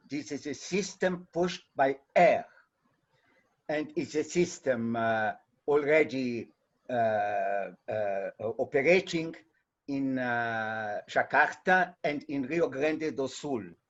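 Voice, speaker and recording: A man speaks very slowly with a Portuguese accent. His voice is fairly high and his intonation lively. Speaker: audience member asking a question. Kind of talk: Q&A question in a webinar. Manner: halting.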